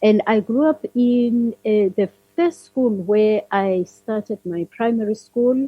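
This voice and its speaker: A woman speaks in a South African accent at a fairly high pitch. Her delivery is somewhat breathy and fairly slow. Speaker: leadership consultant. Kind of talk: interview.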